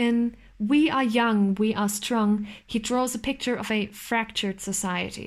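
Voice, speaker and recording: A woman speaks with a German accent at a fairly high pitch. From East Germany. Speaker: student. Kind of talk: scripted narration.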